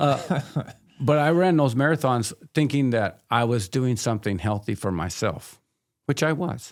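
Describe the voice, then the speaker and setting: Very clean and recorded against a silent background, a man's voice at medium pitch is an ordinary speaking voice moving at a moderate pace. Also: lively intonation. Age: 60s. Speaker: addiction counselor. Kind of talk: casual interview chat. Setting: podcast recording.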